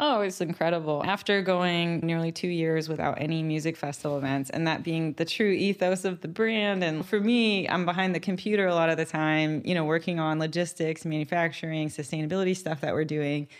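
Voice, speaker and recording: An unremarkable speaking voice from a woman, fairly low in pitch, at a fairly quick pace with hardly any pauses and fairly even intonation. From Middle East (Kuwait and Syria), British parents; moved to Texas 1998 as a child. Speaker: beverage company founder. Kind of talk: interview.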